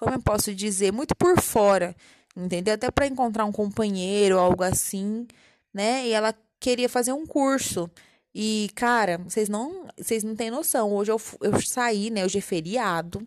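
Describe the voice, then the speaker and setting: This woman has a fairly high pitch and ordinary pitch variation. She speaks at a moderate pace. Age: 20s. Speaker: podcaster, journalism student. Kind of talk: personal monologue. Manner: casual, halting.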